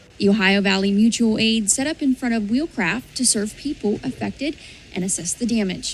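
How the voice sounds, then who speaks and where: A woman's fairly high voice with ordinary pitch variation, over noticeable background noise. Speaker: TV news reporter and anchor. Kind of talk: TV news package narration.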